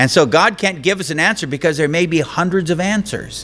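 A man with a high pitch and a bright, sharp tone, talking at a fairly quick pace. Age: old. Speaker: pastor. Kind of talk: sermon. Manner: conversational. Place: church. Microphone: podium.

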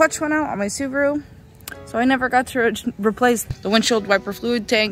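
A woman with a high voice talks at a fairly quick pace, her pitch moving in an ordinary way, over faint background music in a dry space with no echo. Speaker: car DIY vlogger. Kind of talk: casual vlog chat. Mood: upbeat, slightly wry. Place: street. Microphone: phone near.

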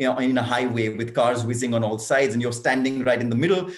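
A man with a medium pitch talks at a very fast pace. The background is quiet. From India. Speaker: foundation co-founder. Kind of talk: panel discussion. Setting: video call. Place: home room. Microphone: webcam.

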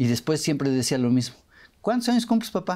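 Very wide pitch swings in a man's dark, mellow tone, against a quiet background. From Mexico. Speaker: radio show host. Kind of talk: casual interview. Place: studio. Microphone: lapel.

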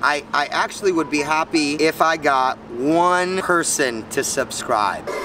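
With noticeable background noise in a dry sound with no echo, a man speaks at a fairly slow pace. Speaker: vlogger. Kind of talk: casual vlog chat.

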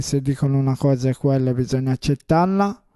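This man's tone is dark and mellow. He speaks at a moderate pace against a quiet background. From northern Italy, Como area (Erba); northern Italy. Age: 30s. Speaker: amateur football team captain. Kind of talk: team presentation to camera. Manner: halting, with many hesitations. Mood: proud, warm. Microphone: handheld.

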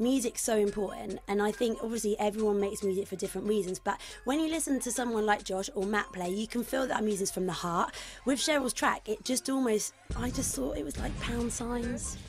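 Over music in the background, a woman with a British accent speaks at a fairly high pitch. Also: ordinary pitch variation, fairly quick pace. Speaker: radio presenter. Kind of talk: radio show banter. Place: studio.

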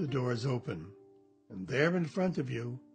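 A man talks with lively intonation yet a calm tone. Music plays in the background. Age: 80s+. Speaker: meditation guide. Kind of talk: guided meditation. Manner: slow, calm.

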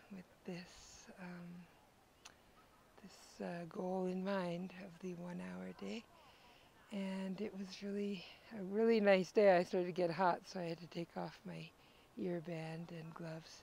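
Over light background noise, with a dry sound and no echo, a woman speaks at a fairly slow pace in a monotone, flat intonation, with long, frequent pauses. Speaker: travel vlogger. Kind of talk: casual vlog chat. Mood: relaxed, positive. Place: forest. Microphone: earbuds.

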